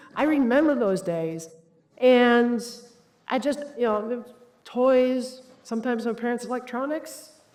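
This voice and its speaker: A woman with a high pitch talks at a fairly slow pace. Her intonation is lively, and audible room echo can be heard. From United States. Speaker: cybersecurity executive and conference speaker. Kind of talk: conference talk. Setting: stage with audience. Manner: animated.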